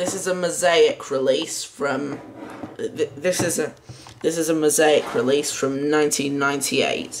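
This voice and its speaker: Noticeable background noise accompanies very slow speech. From UK. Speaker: video collector and reviewer. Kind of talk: casual video review. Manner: halting.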